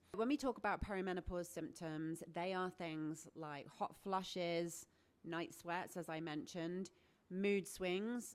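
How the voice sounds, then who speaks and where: A woman with a British accent, fairly low in pitch, at a fairly slow pace with ordinary pitch variation. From Britain. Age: 40s. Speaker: menopause coach and health vlogger. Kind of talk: educational talk to camera.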